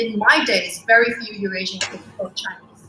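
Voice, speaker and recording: A moderate pace over noticeable background noise. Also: woman. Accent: Cantonese. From Hong Kong. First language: Cantonese. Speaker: school co-founder. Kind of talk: interview. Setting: livestream.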